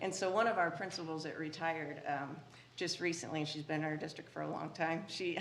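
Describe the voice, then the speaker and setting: A woman with an American accent talks at a very fast pace with fairly even intonation. Her pitch is fairly low, and there is audible room echo. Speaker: school district administrator. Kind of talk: presentation to school board. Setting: board meeting room.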